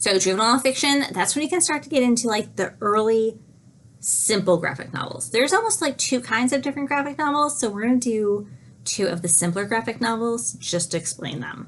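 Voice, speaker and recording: This woman speaks with lively intonation at a fairly high pitch. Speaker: student giving book talks. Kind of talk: book talk presentation. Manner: fast.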